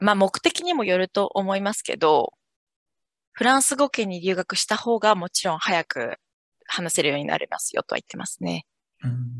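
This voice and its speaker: A woman's medium-pitched voice with very wide pitch swings at a moderate pace, in a dry, close sound with no echo. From Japan, Yokohama. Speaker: French teacher. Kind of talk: interview.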